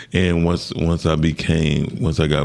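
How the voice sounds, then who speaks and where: There is noticeable background noise behind a man speaking. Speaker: sound engineer and music producer. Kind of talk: interview. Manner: animated storytelling.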